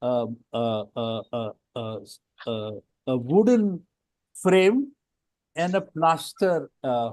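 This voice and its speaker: Very slowly and with long, frequent pauses, a man talks at medium pitch while his pitch swings very widely. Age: 80s+. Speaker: retired architect. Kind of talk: panel discussion. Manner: halting, many fillers.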